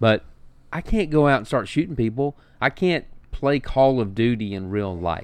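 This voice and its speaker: A man with lively intonation in a Southern US accent. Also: medium pitch for a man, moderate pace. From Alabama. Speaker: restaurant owner and podcast host. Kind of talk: casual chat.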